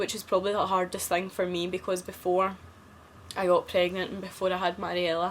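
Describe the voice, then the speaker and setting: A woman talks at a fairly quick pace in a Scottish accent. Her intonation is monotone and flat. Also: medium pitch for a woman. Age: 20s. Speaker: vlogger. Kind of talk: casual chat.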